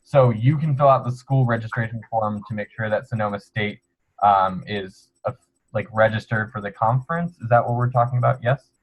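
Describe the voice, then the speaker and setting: He talks at a fairly quick pace with a medium pitch. The man sounds somewhat breathy, with ordinary pitch variation. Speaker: student organization officer. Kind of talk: webinar Q&A explanation. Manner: fast; casual, upbeat.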